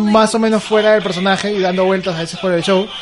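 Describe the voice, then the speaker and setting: Noticeable background noise fills the clip. Over it, a man talks very fast. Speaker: wrestling commentator. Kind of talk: casual interview.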